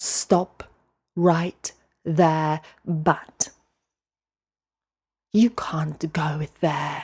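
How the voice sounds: In a put-on character voice, the speaker sounds raspy and hissing at a middle pitch, moving at a very slow pace with long, frequent pauses.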